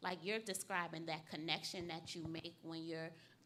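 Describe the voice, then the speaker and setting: A woman speaks at a moderate pace and fairly low pitch in a flat monotone. Her tone is bright and sharp, with audible room echo. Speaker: community youth program leader. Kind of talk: interview. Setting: stage with audience. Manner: passionate.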